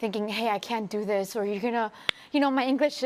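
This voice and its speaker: A woman speaks with a Spanish accent at a fairly high pitch. Her intonation is lively. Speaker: sports TV presenter. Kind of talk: panel discussion.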